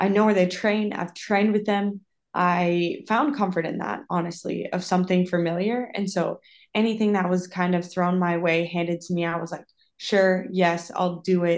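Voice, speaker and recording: A woman with an American accent speaks in an ordinary speaking voice at medium pitch, at a moderate pace, with fairly even intonation, against a quiet background. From Minnesota, US Midwest. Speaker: professional soccer player. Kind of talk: casual interview.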